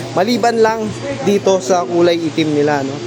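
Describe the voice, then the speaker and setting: A man speaks over noticeable background noise. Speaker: pigeon racing vlogger promoting a loft's birds. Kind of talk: sales pitch. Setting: showroom, filming on camera. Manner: repeats "no?" to keep the audience engaged and lists prices and deals energetically.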